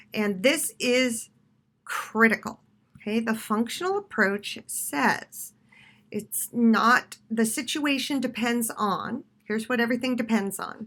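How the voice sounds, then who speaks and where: In a very clean recording with a silent background, a woman with a plain, everyday voice speaks at a fairly slow pace and a fairly high pitch. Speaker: college instructor. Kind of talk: recorded lecture.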